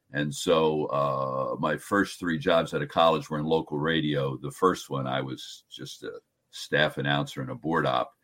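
With a New Jersey accent, a man talks at a moderate pace in a very deep, low pitch and fairly even intonation. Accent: New Jersey American. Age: 70s. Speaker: sports broadcaster. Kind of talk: casual interview.

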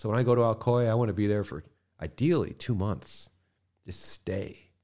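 In an American accent, a man speaks at a medium pitch. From New York City, Manhattan. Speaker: rolling paper company founder. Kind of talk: casual chat. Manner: animated.

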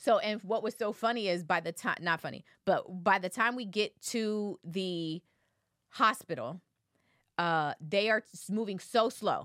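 Heard on a very clean recording with a silent background, an unremarkable speaking voice goes at a fairly slow pace with ordinary pitch variation and a dry, close sound with no echo. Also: woman, medium pitch for a woman. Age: 30s. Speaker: podcast co-host. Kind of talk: casual chat.

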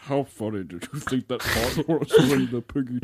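Someone is reading aloud in a natural voice. The pitch varies in an ordinary way.

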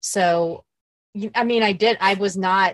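With a plain, everyday voice, a woman speaks in an American accent at a medium pitch and fairly even intonation. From Emporia, Kansas. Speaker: podcast co-creator and gravel cyclist. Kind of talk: casual interview chat.

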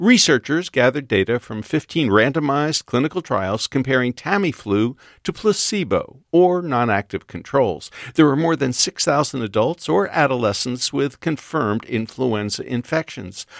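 An unremarkable speaking voice with lively intonation at a moderate pace, in a very clean recording with a silent background and a dry, close sound with no echo. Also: man, medium pitch for a man, hardly any pauses. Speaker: radio host. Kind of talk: interview.

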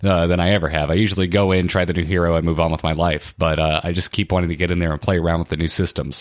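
A husky voice with fairly even intonation comes through a very clean recording with a silent background. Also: man. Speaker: gaming podcaster. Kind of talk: casual chat.

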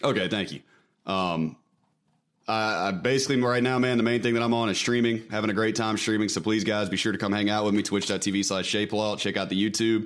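Over a very clean recording with a silent background, a man with an American accent races at a very fast pace in a fairly low pitch, with fairly even intonation and very even loudness. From US South (Mississippi). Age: 20s. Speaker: former prisoner and streamer. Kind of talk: casual chat.

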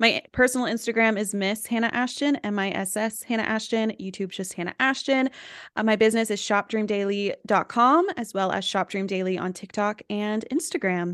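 In an unremarkable speaking voice, a woman talks at a fairly quick pace with hardly any pauses, her pitch fairly high with ordinary variation, in an American accent, the sound dry and close with no echo against a quiet background. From US South, East Tennessee. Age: 20s. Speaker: influencer and entrepreneur. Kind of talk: casual interview chat.

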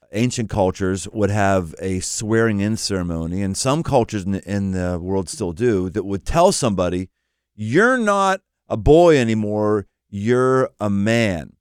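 In an ordinary speaking voice, a man with an American accent talks at a fairly slow pace, with a fairly low pitch and ordinary pitch variation. The recording is very clean, with a silent background. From Pittsburgh, US. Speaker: pastor and author. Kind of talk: casual interview conversation.

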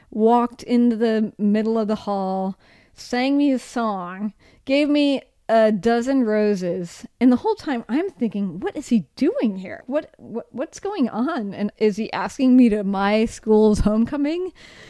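An ordinary speaking voice from a woman with an American accent, fairly high in pitch with ordinary pitch variation and a fairly slow pace, in a very clean recording with a silent background and a dry, close sound with no echo. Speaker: podcast host and former public radio producer. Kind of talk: casual chat.

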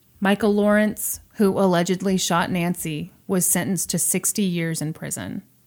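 A woman with an American accent has an ordinary speaking voice at a medium pitch, fairly even intonation and a moderate pace. She leaves hardly any pauses, and the recording is very clean with a silent background. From US Midwest, Missouri. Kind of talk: casual storytelling chat.

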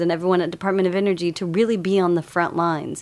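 A woman speaks in a fairly low voice with an American accent. Her intonation is flat and monotone. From Texas, Lubbock. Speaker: researcher and former dancer. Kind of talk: casual chat.

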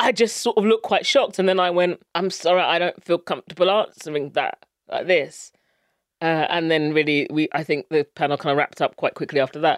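In a very clean recording with a silent background and a dry, close sound with no echo, a woman with a fairly low pitch speaks at a fairly quick pace in a southern English accent. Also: ordinary pitch variation. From England (Luton). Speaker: brand strategy consultant. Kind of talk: interview.

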